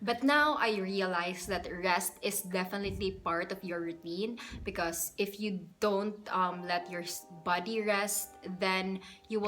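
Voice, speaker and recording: Music plays in the background as a woman talks at medium pitch. Her pace is fairly slow and her intonation fairly even. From Philippines. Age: 20s. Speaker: YouTuber. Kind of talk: casual talk to camera. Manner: relaxed, chatty.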